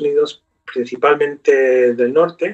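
A male voice proceeds fairly slowly, the background around it quiet. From US, New York (Brooklyn); New York. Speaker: professor of Spanish literature. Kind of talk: interview. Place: home room. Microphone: webcam.

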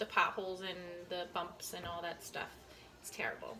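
Light background noise sits beneath a woman's voice. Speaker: vlogger. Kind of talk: casual vlog chat. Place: kitchen. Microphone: phone near.

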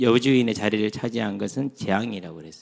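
The recording is very clean with a silent background. A man has a normal speaking voice at medium pitch with fairly even intonation. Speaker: pastor. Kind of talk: sermon. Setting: church retreat. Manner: conversational, many rhetorical questions.

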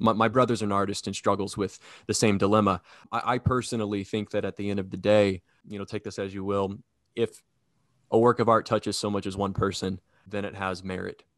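In a quiet background with a dry, close sound and no echo, a man speaks fairly quickly in a fairly low pitch with monotone, flat intonation. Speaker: interviewer. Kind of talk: interview question.

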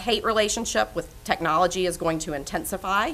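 Here a woman speaks with a bright, sharp tone. Her pitch variation is ordinary. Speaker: panel moderator. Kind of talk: panel discussion. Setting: stage with audience. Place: meeting room. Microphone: podium.

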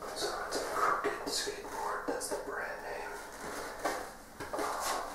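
Very slowly, a man gets his words out. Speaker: skateboarder. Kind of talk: ASMR video. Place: home room.

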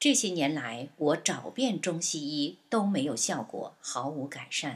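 On a very clean recording with a silent background, a woman with a very deep, low voice speaks very slowly, her pitch swinging very widely. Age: 60s. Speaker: patient giving testimony. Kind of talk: scripted narration of a patient testimony. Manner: list-like reading of dates and steps.

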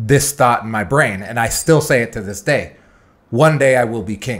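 Ordinary pitch variation over a quiet background. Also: man. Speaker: podcast host. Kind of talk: casual chat. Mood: earnest, reflective personal story. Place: studio. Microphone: studio mic.

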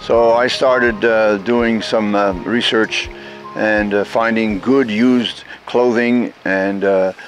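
Faint music plays in the background while a man speaks very slowly in a monotone, flat voice, with a dry sound with no echo. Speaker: community volunteer. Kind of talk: documentary interview answer. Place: street.

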